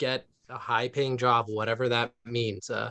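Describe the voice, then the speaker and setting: At a medium pitch and fairly slow pace, a man speaks in a bright, sharp tone with monotone, flat intonation. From US West Coast, East Palo Alto, California. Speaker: urban forestry manager and arborist. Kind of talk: panel talk. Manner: casual, many fillers.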